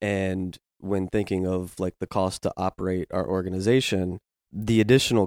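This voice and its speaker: A man with a very deep, low pitch and an American accent speaks in fairly even intonation, recorded very cleanly against a silent background with a dry, close sound and no echo. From Virginia. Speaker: climbing gym director of operations. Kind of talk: casual interview.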